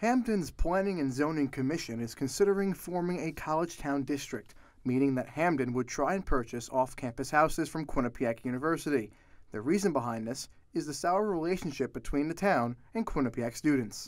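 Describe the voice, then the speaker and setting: It's a plain, everyday voice with lively intonation at a fairly quick pace. The recording is very clean, with a silent background. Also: man, fairly high pitch for a man. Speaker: news reporter and anchor. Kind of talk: TV news anchor and reporter delivery.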